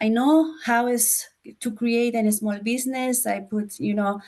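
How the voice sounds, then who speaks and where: With a Spanish accent, a woman speaks at a moderate pace in a fairly high pitch with fairly even intonation. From Chile. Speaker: former school board candidate. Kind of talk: interview. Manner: halting, non-fluent English.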